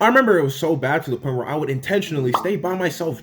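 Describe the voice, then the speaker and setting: Delivered at a very fast pace with a slight Toronto accent, the voice sounds animated and its intonation is lively. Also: man. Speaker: YouTuber. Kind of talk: comedic storytelling.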